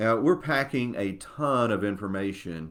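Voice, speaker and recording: This man's voice sits at medium pitch and has lively intonation. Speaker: CPA and church tax consultant. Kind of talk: webinar presentation. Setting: Facebook Live webinar. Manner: fast.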